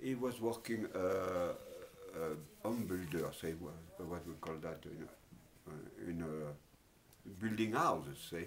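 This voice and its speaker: In a French accent, a man talks at a very slow pace with a very deep, low pitch and ordinary variation. Room echo is audible. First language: Italian, then French. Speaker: interviewee, former factory worker. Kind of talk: life story interview. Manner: halting, many fillers.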